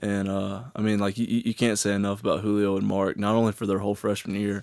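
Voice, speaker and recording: In a very clean recording with a silent background, a man with a Southern US accent talks very fast at a fairly low pitch. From Alabama and middle Tennessee. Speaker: college football player. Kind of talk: interview.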